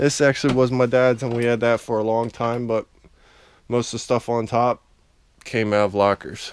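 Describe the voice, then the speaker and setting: A man talks at a moderate pace. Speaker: storage auction buyer vlogger. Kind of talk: casual vlog walkthrough. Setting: at home, walking around garage.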